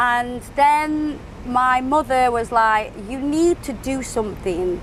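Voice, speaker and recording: A woman speaks at a high pitch. Her pitch variation is ordinary. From England, Stoke-on-Trent. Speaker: nail artist and social media creator. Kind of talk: podcast interview.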